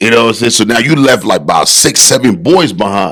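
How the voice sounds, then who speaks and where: A man with an American accent talks fairly quickly at a medium pitch, his tone animated. His voice swings very widely in pitch and carries vocal fry. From Liberia. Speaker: bodybuilder. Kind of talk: podcast interview, personal life story. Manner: animated, conversational.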